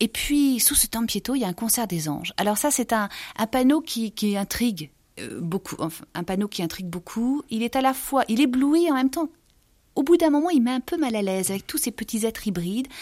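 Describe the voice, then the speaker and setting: This woman's fairly high voice has very wide pitch swings at a fairly quick pace. The sound is dry and close with no echo, on a very clean recording with a silent background. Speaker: art book author. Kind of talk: art commentary interview. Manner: halting; animated.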